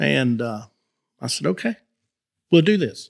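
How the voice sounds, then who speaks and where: Speech comes at a moderate pace in a Southern US accent. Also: man. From north Florida. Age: 50s. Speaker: farmer and cattleman. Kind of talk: casual interview chat. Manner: halting, with many repetitions.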